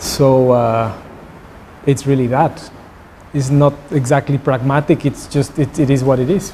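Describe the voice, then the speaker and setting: Somewhat breathy and fairly high-pitched, a man speaks in a dark, mellow tone with fairly even intonation, very even loudness and long, frequent pauses. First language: Spanish. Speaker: visiting artist. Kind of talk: artist talk Q&A. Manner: halting, with repeated words.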